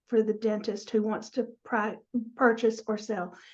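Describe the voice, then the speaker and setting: A woman with a Southern US accent speaks at a fairly high pitch with a dark, mellow tone. Her intonation is monotone and flat against a quiet background. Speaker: dental practice transition advisor. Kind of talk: interview.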